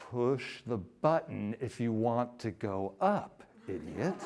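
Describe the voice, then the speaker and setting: This is a put-on character voice with a rumbling sound. It moves at a fairly slow pace. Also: man, medium pitch for a man. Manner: sarcastic, insulting.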